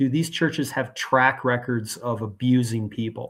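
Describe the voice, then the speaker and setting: A man talks at a moderate pace with a normal speaking voice, medium pitch, and fairly even intonation. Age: 60s. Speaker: guest speaker on church abuse, blogger. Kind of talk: interview conversation.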